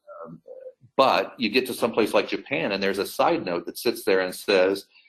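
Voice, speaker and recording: A man's unremarkable speaking voice with an American accent, ordinary pitch variation and a moderate pace. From United States. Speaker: airline crisis communications executive. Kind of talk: webinar interview. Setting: online webinar. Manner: conversational with many fillers and repetitions.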